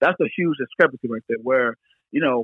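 Talking very fast with lively intonation, a man speaks with a Philadelphia accent. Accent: Philadelphia-area American English. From Pennsylvania, Philadelphia area. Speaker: business founder. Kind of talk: interview. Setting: phone call.

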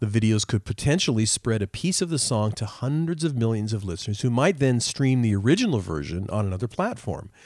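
Talking at a fairly quick pace with hardly any pauses, a man with a normal speaking voice and medium pitch uses lively intonation in a very clean recording with a silent background. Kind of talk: casual chat with news discussion.

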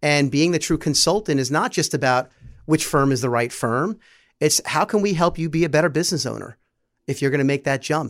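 An ordinary speaking voice, a man's, fairly high in pitch with ordinary pitch variation, fairly quick pace, very clean recording with a silent background. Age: 40s. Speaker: head of business development, former wholesaler. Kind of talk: casual interview.

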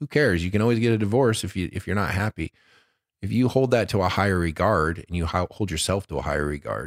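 A man with an American accent talks with a very deep, low pitch, vocal fry and lively intonation. The recording is very clean and silent in the background, with a dry, close sound and no echo. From Detroit, US Midwest. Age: 40s. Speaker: stand-up comedian and actor. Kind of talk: casual chat. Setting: studio.

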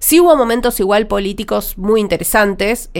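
Lively in intonation, a woman talks fairly quickly with a Rioplatense accent. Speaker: TV critic and podcast co-host. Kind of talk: casual chat.

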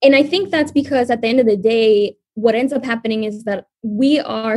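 With an American accent, a woman uses an unremarkable speaking voice, fairly high in pitch, moving at a moderate pace with ordinary pitch variation. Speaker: multimedia producer and host. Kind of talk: casual chat.

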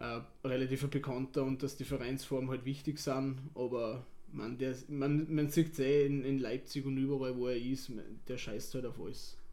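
With audible room echo, a man speaks in a medium-pitched voice of dark, mellow tone and monotone, flat intonation. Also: moderate pace. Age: 30s. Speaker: football club board member. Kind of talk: casual interview. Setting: stadium.

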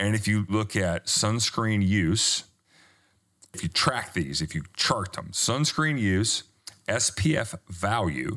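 A man with a Southern US accent speaks at a very slow pace. His tone is bright and sharp. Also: lively intonation. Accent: American Southern-sounding. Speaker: skincare company founder. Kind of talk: interview.

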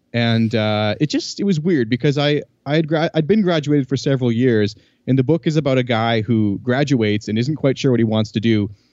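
In a normal speaking voice, a man talks at a fairly quick pace with medium pitch and ordinary pitch variation. His loudness stays very even against a quiet background. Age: 30s. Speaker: podcast host, clarinetist. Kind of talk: casual interview chat.

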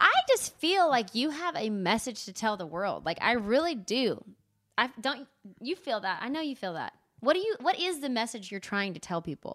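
Speaking in a Texas accent, a woman uses a high pitch with very wide pitch swings. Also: moderate pace. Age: 30s. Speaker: podcast host. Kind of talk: casual interview. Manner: animated.

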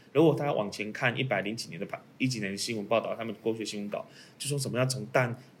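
A man speaking at a very fast pace, with ordinary pitch variation. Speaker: lawyer. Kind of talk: panel discussion on a legal case.

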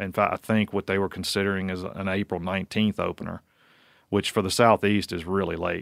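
In a monotone, flat delivery with an American accent, a man is heard on a very clean, dry and close recording with no echo and a silent background. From Virginia, US. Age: 40s. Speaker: wildlife researcher. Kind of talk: casual interview chat.

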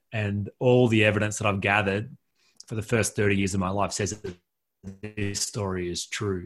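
The background is quiet as a man with an Australian accent speaks at a moderate pace. His fairly low voice stays monotone and flat. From rural New South Wales, Australia. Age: 40s. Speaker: author and coach, former pastor. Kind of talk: podcast interview.

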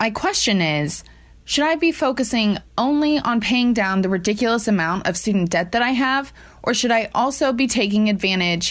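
An ordinary speaking voice from a woman, fairly high in pitch, with lively intonation. She keeps a moderate pace and very even loudness. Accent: American. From Ohio, US. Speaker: caller. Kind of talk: recorded listener question.

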